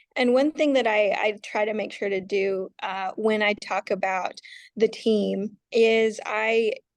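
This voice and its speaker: A woman speaks at a fairly slow pace with a fairly high pitch and fairly even intonation against a quiet background. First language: Navajo. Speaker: runner and team co-founder. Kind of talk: podcast interview. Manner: halting.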